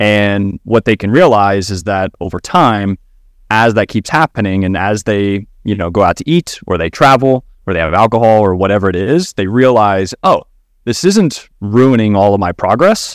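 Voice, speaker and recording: A man's fairly low, plain, everyday voice with an American accent, moderate pace and ordinary pitch variation, in a very clean, dry, close recording with no echo and a silent background. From Kentucky, US. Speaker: fitness coach and dietitian. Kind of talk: casual chat.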